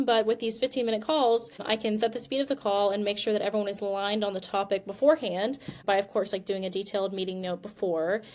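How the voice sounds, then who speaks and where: Speaking at a very fast pace with hardly any pauses, a woman uses medium pitch and ordinary pitch variation. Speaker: venture capital investor. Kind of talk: casual business discussion.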